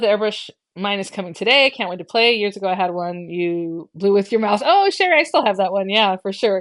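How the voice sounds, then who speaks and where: A woman's medium-pitched voice with lively intonation. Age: 40s. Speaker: crafting YouTuber. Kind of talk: live stream chat. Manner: fast.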